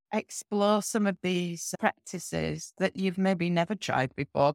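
This is a normal speaking voice with ordinary pitch variation, delivered at a fairly slow pace. The sound is dry and close, with no echo. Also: woman. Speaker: physiotherapist and yoga teacher. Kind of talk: casual interview chat. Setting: remote call.

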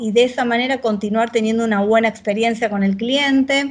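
A woman's fairly high voice moves at a moderate speed with fairly even intonation, set against noticeable background noise. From Argentina, Buenos Aires province (Victoria, zona norte). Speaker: agile transformation leader in tech. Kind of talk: interview.

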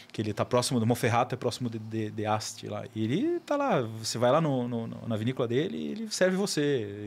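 Speaking at a very fast pace with hardly any pauses, a man holds a medium pitch with ordinary pitch variation. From Florianópolis, southern Brazil. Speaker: wine educator and podcaster. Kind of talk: casual chat. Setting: studio.

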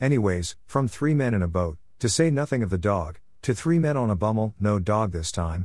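With lively intonation, a man talks over a quiet background. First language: not English. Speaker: author and blogger. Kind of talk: reading aloud own blog post.

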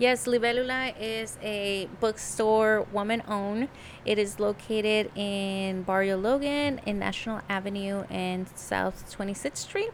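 A woman with a Mexican accent speaks at a fairly slow pace with hardly any pauses. Her pitch is fairly high and her intonation fairly even. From Tijuana, Mexico. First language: Spanish. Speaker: podcast co-host. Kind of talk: casual interview.

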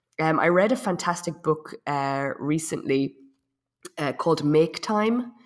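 A woman speaks at a fairly slow pace with an Irish accent. Her pitch is very deep and low. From Ireland. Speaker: web and digital marketing consultant. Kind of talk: casual interview.

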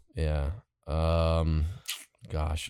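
On a very clean recording with a silent background, a man speaks in a very deep, low voice with a dark, mellow tone. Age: 20s. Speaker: podcast guest. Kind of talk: casual chat.

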